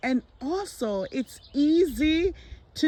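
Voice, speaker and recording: This woman's intonation is lively. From tropical island. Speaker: gardening vlogger. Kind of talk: casual garden tour vlog. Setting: outdoors in garden.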